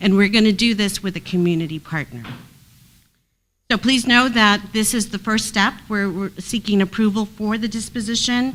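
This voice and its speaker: A woman with an unremarkable speaking voice talks at a moderate pace, medium in pitch with ordinary pitch variation. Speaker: housing agency staff presenter. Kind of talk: committee meeting presentation.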